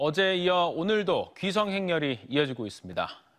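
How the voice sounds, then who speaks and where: A man at a moderate pace with lively intonation. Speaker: news anchor. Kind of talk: news reading. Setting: studio. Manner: formal.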